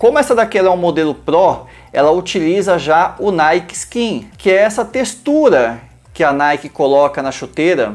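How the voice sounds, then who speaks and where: With an animated tone and very wide pitch swings, a high-voiced man speaks at a moderate pace. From Brazil. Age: 30s. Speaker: goalkeeper YouTuber. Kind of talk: product review. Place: studio. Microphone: lapel.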